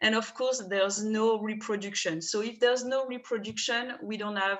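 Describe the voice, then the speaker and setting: A woman with a French accent, medium pitch and ordinary pitch variation. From France, southern Rhône. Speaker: winemaker. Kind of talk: wine tasting presentation.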